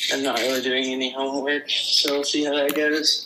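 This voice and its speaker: A man talks at a fairly high pitch and a moderate pace, in a monotone, flat intonation. Noticeable background noise runs underneath. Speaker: group of five correspondent. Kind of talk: casual phone interview. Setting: phone call, later in a car.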